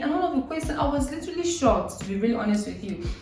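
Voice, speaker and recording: A woman's speech carries audible echo from the room, along with noticeable background noise. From eastern Nigeria. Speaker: vlogger. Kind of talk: casual Q&A vlog. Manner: animated, laughing.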